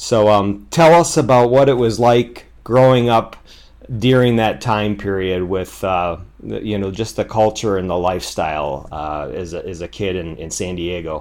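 A man's plain, everyday voice, fairly low in pitch, with lively intonation, big swings in loudness and a moderate pace. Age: 40s. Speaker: podcast host. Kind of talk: scripted narration; interview.

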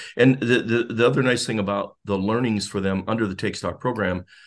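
Against a quiet background, a man with a Midwestern American accent talks at a fairly low pitch with fairly even intonation. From US Midwest, northeastern Ohio. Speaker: volunteer mentor, retiree. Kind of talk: interview.

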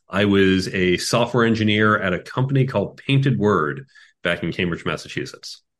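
With an American accent, a man talks in an ordinary speaking voice, his pitch fairly low and varying in an ordinary way, against a quiet background. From Chicago, US Midwest. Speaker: tech executive and career coach. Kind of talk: interview conversation.

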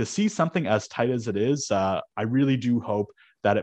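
An ordinary speaking voice from a man with a Canadian accent and ordinary pitch variation, dry and close with no echo, against a quiet background. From Canada. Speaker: sportsbook odds maker. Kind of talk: casual chat. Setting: at home.

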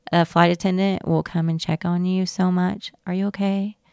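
On a very clean recording with a silent background and a dry, close sound with no echo, a woman speaks at a moderate pace with medium pitch and monotone, flat intonation. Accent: Southern US. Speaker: flight attendant. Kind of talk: interview.

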